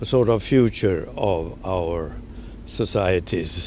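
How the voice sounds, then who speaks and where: Someone talks at a very slow pace with a Swedish accent. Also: man. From Sweden. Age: 80s+. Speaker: journalist. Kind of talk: interview answer.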